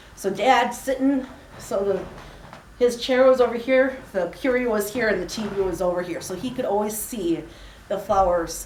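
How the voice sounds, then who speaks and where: At a moderate pace, a woman speaks with a fairly high pitch and ordinary pitch variation over noticeable background noise. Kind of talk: personal storytelling speech.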